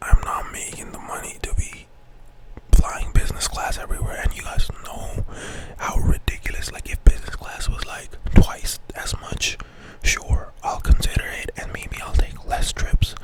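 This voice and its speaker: A breathy whisper at a moderate pace swings a lot in loudness over noticeable background noise. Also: man. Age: 20s. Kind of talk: casual talk to camera. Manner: whispered, breathy.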